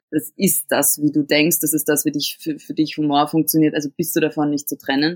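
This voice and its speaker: With a very deep, low pitch, a woman talks at a fairly quick pace in a flat monotone, hardly pausing, her sound dry and close with no echo. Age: 20s. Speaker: cabaret artist and actress. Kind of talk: interview.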